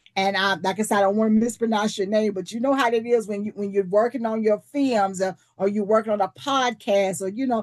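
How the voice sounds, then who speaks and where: The pace runs fairly quick in a normal speaking voice. Pitch variation is ordinary. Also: woman, hardly any pauses. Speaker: leadership teacher. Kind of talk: online presentation.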